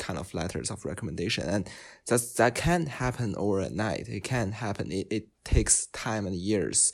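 Vocal fry runs through a man's fairly low-pitched voice. The recording is very clean, with a silent background. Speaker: student columnist.

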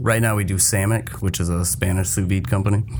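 A man's very deep, low voice at a very fast pace, with lively intonation over noticeable background noise. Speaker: restaurant group chef. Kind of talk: casual chat.

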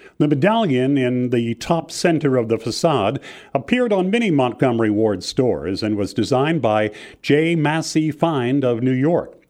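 Speaking at a moderate pace, a man with an unremarkable speaking voice keeps a medium pitch and lively intonation. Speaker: walking tour guide. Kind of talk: scripted walking-tour narration, read aloud. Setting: studio recording. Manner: measured, formal, even-paced; reads out building names and dates like a catalogue.

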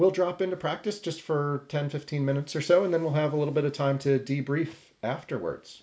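This is a man with an American accent and a normal speaking voice. His pitch variation is ordinary. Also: fairly high pitch for a man. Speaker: meditation teacher. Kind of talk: guided meditation. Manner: slow, calm, soft-spoken, with long pauses; gentle, invitational.

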